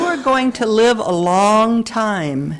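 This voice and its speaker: In a Southern US accent, a woman speaks at a fairly high pitch with lively intonation. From US South, Mississippi. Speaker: minister. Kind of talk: sermon.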